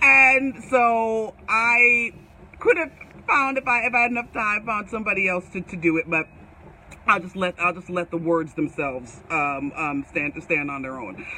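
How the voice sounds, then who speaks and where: Over noticeable background noise, a woman with an American accent speaks at a moderate pace, her pitch swinging very widely. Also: medium pitch for a woman. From US, Jamaican family. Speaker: author and leadership coach. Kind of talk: live stream book launch talk. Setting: Facebook live video. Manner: animated.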